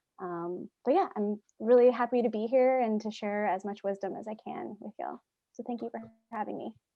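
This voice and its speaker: With a plain, everyday voice and an American accent, a woman speaks at a fairly quick pace and fairly high pitch, her intonation fairly even but her loudness swinging widely. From US, central Pennsylvania. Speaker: filmmaker. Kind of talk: panel discussion.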